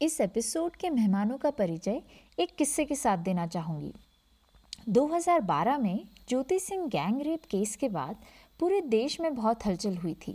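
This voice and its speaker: Her pitch fairly high and swinging very widely, a woman speaks in a dark, mellow tone on a very clean recording with a silent background. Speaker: podcast host. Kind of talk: scripted narration.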